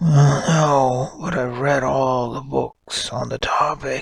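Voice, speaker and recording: Very slowly, a man puts on a character voice. It is raspy and breathy. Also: medium pitch for a man. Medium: read story. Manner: polite, formal.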